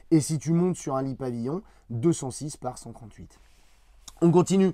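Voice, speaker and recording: A man speaks with a fairly high pitch. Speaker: camper van reviewer. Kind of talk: product presentation. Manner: conversational, some hesitations.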